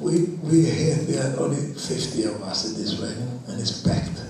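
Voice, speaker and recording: This man's voice is fairly high-pitched. The recording carries audible room echo and noticeable background noise. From Romania. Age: 80s+. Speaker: Holocaust survivor speaking to students. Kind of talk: testimony. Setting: school talk with audience. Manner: halting.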